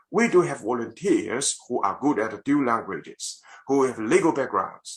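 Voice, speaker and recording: Delivery comes at a moderate pace. A Chinese accent is present. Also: man. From China. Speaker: lawyer. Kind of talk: parliamentary submission speech. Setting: video call. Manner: formal.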